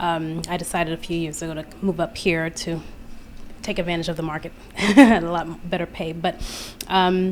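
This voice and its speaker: Soft-spoken and with an American accent, a woman speaks at a fairly low pitch and a moderate pace, using fairly even intonation and long, frequent pauses. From Queens, New York. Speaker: audience member asking a question. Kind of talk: audience question. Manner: hesitant.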